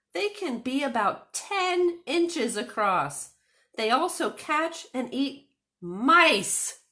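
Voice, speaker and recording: This is a put-on character voice with very wide pitch swings. The delivery is very slow. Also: woman, high pitch for a woman. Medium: read story. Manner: chatty, earnest storyteller.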